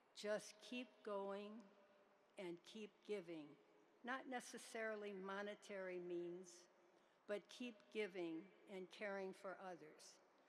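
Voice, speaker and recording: A woman talks at a very slow pace with long, frequent pauses, her medium-pitched voice showing ordinary pitch variation over noticeable background noise. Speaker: honorary degree recipient. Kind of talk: acceptance speech.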